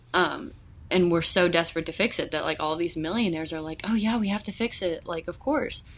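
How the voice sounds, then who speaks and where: Speaking at a very fast pace, a woman has a fairly low pitch. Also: ordinary pitch variation. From Kentucky (Louisville). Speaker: student. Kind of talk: casual chat.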